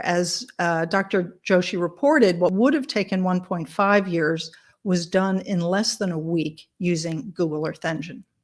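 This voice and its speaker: A woman talks at a moderate pace and medium pitch. Hers is a normal speaking voice. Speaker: tech researcher presenting a mapping project. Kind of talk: conference presentation.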